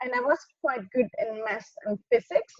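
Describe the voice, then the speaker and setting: Recorded with a dry, close sound and no echo, a woman speaks at a high pitch with a German accent. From southern Germany. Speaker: motorsport engineer. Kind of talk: interview. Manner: halting.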